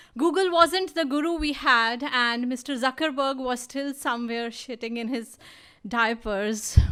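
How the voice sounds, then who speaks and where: A woman speaks in a raised, projected voice at a high pitch, with a bright, sharp and animated tone. Her pace is fairly slow, and her pitch variation is ordinary. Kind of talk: spoken word storytelling performance. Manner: humorous, animated.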